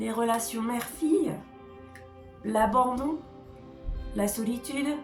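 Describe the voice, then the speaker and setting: A woman speaks very slowly in a high voice with ordinary pitch variation. Music plays in the background. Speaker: writing coach. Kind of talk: educational talk to camera.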